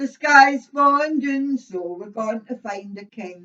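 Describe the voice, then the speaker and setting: Speaking at a very slow pace, a woman with a Scottish accent uses ordinary pitch variation. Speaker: storyteller. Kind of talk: children's story telling.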